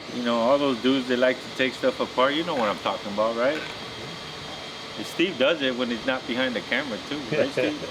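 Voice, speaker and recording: Talking at a fairly quick pace, a man keeps a medium pitch with fairly even intonation. Background noise is noticeable. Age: middle-aged. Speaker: custom car builder. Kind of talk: casual chat. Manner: casual, slangy.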